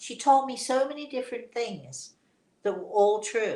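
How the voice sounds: A woman talks at a fairly slow pace, and audible room echo surrounds her voice.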